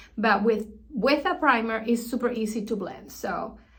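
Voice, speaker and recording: Audible room echo follows a woman's fairly high voice with ordinary pitch variation. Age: 60s. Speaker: beauty vlogger. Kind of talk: tutorial. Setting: bathroom.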